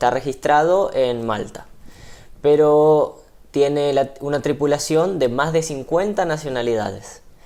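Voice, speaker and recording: A fairly slow delivery in an Argentine accent. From Argentina. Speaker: missionary ship crew member. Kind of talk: TV interview. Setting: TV studio.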